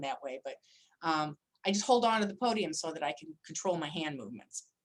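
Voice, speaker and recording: Pitched fairly low, a woman talks in an unremarkable speaking voice. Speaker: attorney. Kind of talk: lecture.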